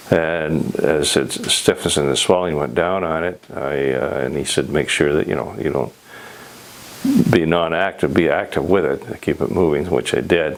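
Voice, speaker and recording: With a western Canadian accent, the speaker talks at a moderate pace with ordinary pitch variation over noticeable background noise. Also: man, very deep, low pitch for a man. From Canada (Alberta). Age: 80s+. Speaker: patient. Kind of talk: patient testimonial. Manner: hesitant, many fillers.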